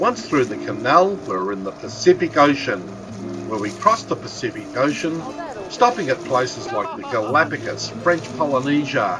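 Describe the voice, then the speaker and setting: Over music in the background, a man talks at a moderate pace. His pitch swings very widely. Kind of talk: travel narration.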